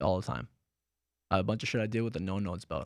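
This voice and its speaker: A man with an American accent at a fairly low pitch, in a dry, close sound with no echo and a very clean recording with a silent background. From Boston, Massachusetts, then Lebanon from 13. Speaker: insurance sales agent. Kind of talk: podcast interview. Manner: fast; mumbling at times.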